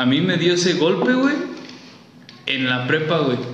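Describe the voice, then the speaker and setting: A man's fairly high voice at a moderate pace, with audible room echo and noticeable background noise. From Guanajuato, central Mexico. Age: 30s. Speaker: childhood friend of host. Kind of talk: casual chat.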